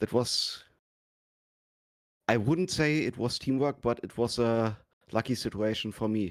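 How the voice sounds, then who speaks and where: A man with a German accent speaks at a medium pitch with ordinary pitch variation. His pauses are long and frequent. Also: fairly slow pace. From Germany. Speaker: sim racing driver. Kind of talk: post-race interview. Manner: halting.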